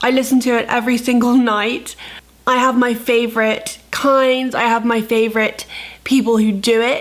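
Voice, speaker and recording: A woman's fairly high voice in a flat monotone, with noticeable background noise. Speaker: lifestyle and health vlogger. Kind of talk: vlog intro then ASMR attempt.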